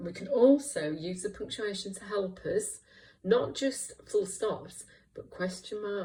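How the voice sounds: This clip features a natural reading voice.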